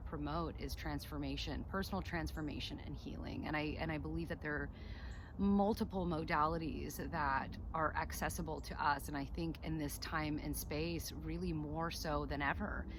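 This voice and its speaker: A woman at a moderate pace, with audible room echo. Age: 30s. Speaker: spiritual channel host. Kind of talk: personal monologue to camera. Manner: halting, many fillers and repetitions.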